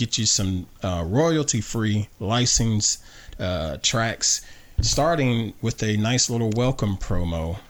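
A speaker with a Southern US accent. The pitch rises and falls in an ordinary way. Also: man. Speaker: podcast host. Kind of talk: casual family chat. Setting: home studio.

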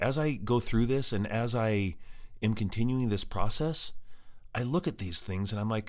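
In an ordinary speaking voice, a man with an American accent talks at a moderate pace and medium pitch with lively intonation, on a very clean recording with a silent background. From Colorado. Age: 40s. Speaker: podcast host living with MS. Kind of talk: personal monologue.

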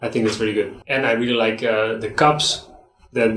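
A man talks in a Dutch accent at a moderate pace. His pitch is medium. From Netherlands, between Amsterdam and Rotterdam. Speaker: graphic designer. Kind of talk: casual interview chat. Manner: halting, repeats words.

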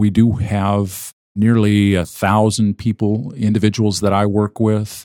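A man with an American accent speaks in an unremarkable speaking voice at a fairly slow pace, his pitch fairly low, the sound dry and close with no echo. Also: very clean recording, silent background. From US Midwest (Minnesota), later Arizona. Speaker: pastor and nonprofit fundraising director. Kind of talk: interview.

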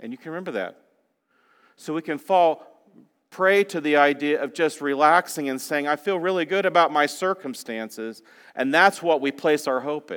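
Speaking with a plain, everyday voice, a man has a fairly high pitch and ordinary pitch variation. He keeps a moderate pace in a very clean recording with a silent background. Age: 50s. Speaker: guest preacher. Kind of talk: sermon. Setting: church.

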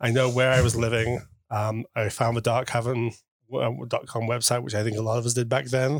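Speaking fairly quickly with a British accent, a man keeps a medium pitch in a monotone, flat delivery. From UK. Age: 40s. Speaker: guest in cuckold marriage. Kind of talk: interview. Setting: in person.

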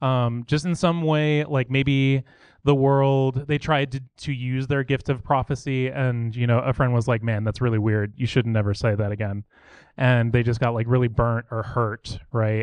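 Against a quiet background, a man with an ordinary speaking voice talks at a moderate pace in a medium pitch, keeping his intonation fairly even. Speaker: church member. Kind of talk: testimony. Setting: church. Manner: casual.

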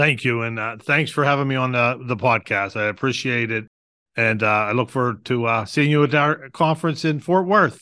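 A man speaks in a Western Pennsylvania accent at a moderate pace, with a medium pitch and ordinary pitch variation. His tone is bright and sharp. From Pittsburgh, Pennsylvania. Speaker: parking authority executive director. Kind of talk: interview.

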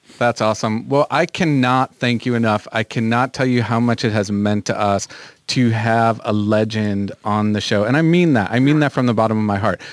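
Speaking at a moderate pace with hardly any pauses and very even loudness, a man with an ordinary speaking voice uses a medium pitch and ordinary pitch variation, in a dry, close sound with no echo. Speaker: podcast co-host. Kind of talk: casual chat, comedy podcast. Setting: studio.

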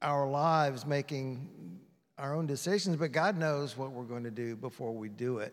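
This man's voice sits fairly high and moves at a fairly slow pace with ordinary pitch variation. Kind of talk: asking a question in church Q&A. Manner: halting.

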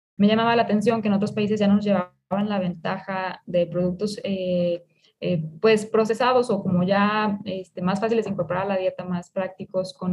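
This woman's voice sits at a medium pitch and sounds somewhat breathy. Her intonation is monotone and flat. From Mexico, Jalisco (El Grullo). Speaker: food engineer and entrepreneur. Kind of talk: interview. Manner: hesitant, with fillers.

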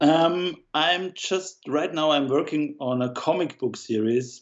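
A man talks with an Austrian accent. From Austria, Vienna. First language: German. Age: 30s. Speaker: illustrator. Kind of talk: casual interview. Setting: remote call.

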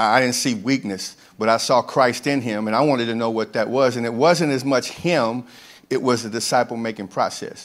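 A man's normal speaking voice, medium in pitch, with fairly even intonation at a fairly quick pace. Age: 50s. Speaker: camp ministry director. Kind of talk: testimony. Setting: church with congregation.

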